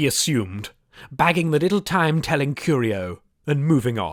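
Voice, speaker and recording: In a very clean recording with a silent background and a dry, close sound with no echo, a man uses a normal speaking voice, fairly high in pitch, with lively intonation. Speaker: audiobook narrator. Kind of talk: audiobook narration, fantasy adventure.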